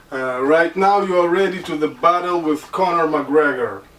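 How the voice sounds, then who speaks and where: A high-pitched man with a Russian accent, amid noticeable background noise. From Caucasus. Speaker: online hat seller. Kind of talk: product tutorial. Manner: halting, many fillers.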